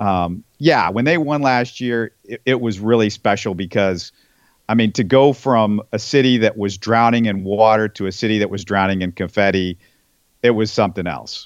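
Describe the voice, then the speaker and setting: A man's normal speaking voice at medium pitch, with an American accent, ordinary pitch variation, a moderate pace and a quiet background. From Texas, Houston. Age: 40s. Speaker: sports podcast host. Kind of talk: casual interview.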